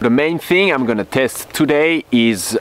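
A man speaks at a fairly slow pace, the sound dry with no echo. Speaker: off-road vlogger. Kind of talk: casual vlog chat. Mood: upbeat, thankful. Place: open country. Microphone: phone near.

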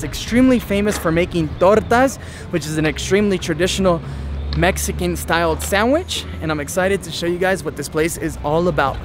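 A man talks at a fairly quick pace, his voice dry with no echo and noticeable background noise behind it. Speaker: travel vlogger. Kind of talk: casual vlog chat. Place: street. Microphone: phone near.

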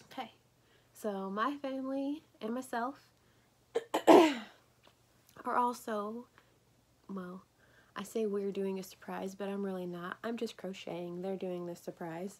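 Quietly and at a very slow pace, a woman speaks with ordinary pitch variation and long, frequent pauses. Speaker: crochet vlogger. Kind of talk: casual tutorial vlog. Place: home room. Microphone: phone near.

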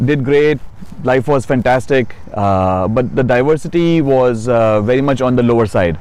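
A man with an Indian accent and very even loudness. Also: medium pitch for a man, ordinary pitch variation, moderate pace. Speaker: city council candidate, psychiatrist. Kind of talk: interview. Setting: outdoors.

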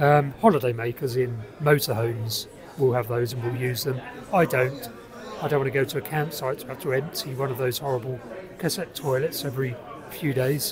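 The speech moves at a fairly quick pace. The sound is dry with no echo, and there is noticeable background noise. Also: man. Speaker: car-dwelling vlogger. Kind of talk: casual vlog chat. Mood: relaxed, wry. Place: bar. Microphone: phone near.

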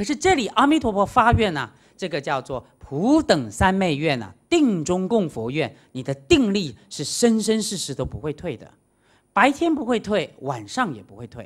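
An animated man at a moderate pace, against a quiet background. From Taiwan. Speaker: Buddhist monastic lecturer. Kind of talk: dharma lecture. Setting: lecture hall with audience. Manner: animated, many interjections. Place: hall.

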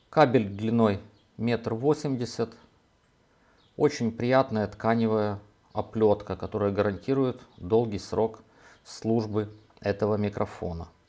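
The speech goes at a very slow pace with fairly even intonation and long, frequent pauses. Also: man, medium pitch for a man. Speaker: video blogger. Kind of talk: tutorial. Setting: at a table with laptop.

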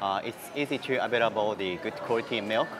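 A man with a fairly low pitch talks while clear music plays behind him. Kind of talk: interview answer. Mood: friendly, gently enthusiastic. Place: cafe.

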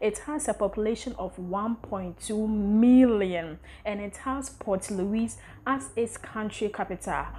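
Very slowly, a woman speaks in a fairly high pitch with a somewhat breathy, dark and mellow tone. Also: ordinary pitch variation. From Ghana. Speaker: content creator, travel vlogger. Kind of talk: casual vlog presentation. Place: home room.

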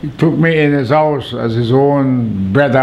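A man with a Vincentian accent speaks at a fairly slow pace in a medium pitch. His pitch varies in an ordinary way over light background noise. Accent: Vincentian Caribbean English. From St. Vincent and the Grenadines. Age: 80s+. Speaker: documentary subject. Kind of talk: interview answer. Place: home room.

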